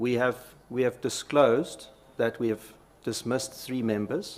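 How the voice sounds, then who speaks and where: In a South African accent, a man speaks at a medium pitch with monotone, flat intonation. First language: Afrikaans. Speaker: company executive testifying. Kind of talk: parliamentary committee testimony. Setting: parliamentary committee hearing. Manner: halting.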